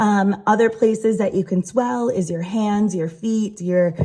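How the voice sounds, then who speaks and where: A woman speaks at a moderate pace with fairly even intonation. Her voice is somewhat breathy, with a dark, mellow tone. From Rhode Island. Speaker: patient sharing health story. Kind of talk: personal explainer video. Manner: hesitant, many fillers.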